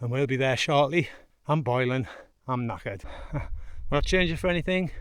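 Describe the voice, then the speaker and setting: Someone speaks at a moderate pace with a northern English accent. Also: man. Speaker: hiker vlogger. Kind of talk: vlog narration while hiking. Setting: outdoors on a fell.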